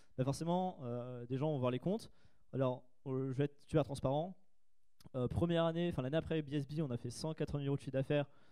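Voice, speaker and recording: A man speaks at a very fast pace. His pitch is fairly high and his tone dark and mellow. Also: ordinary pitch variation. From France, Paris region (Trappes). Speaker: entrepreneur, conference speaker. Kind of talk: conference Q&A talk. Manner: casual, hesitant fillers.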